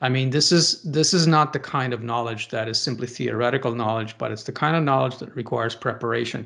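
A man speaks at a very fast pace and medium pitch. His pitch varies in an ordinary way against a quiet background. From Romania. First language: Romanian. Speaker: theology professor. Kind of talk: interview on theology. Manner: halting, many fillers.

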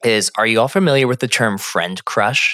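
Recorded with a dry, close sound with no echo, a man with an American accent speaks at medium pitch in a bright, sharp tone. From Phoenix, Arizona. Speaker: therapist and podcast co-host. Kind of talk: casual chat.

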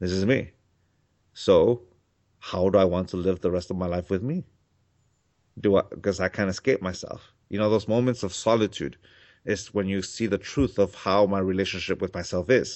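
Someone with a Mexican accent speaks at a moderate pace with fairly even intonation and long, frequent pauses. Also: man, fairly low pitch for a man. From Mexico. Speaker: spiritual author and teacher. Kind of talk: interview.

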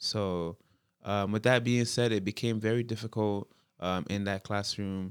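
Spoken at a fairly slow pace with a Toronto accent, the voice keeps a fairly even intonation in a dry, close sound with no echo, on a very clean recording with a silent background. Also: man, fairly low pitch for a man. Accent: Toronto urban Canadian English. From Toronto, Canada (Jane and Finch area). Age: 20s. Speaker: rapper and youth worker. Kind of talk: casual interview conversation. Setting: in-person room across a desk.

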